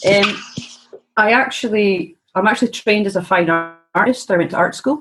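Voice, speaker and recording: With music in the background, a woman speaks in a Scottish accent at a moderate pace, keeping her loudness very even and her pitch variation ordinary. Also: medium pitch for a woman. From Scotland, small town. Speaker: personal trainer in training, former fine artist. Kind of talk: casual chat.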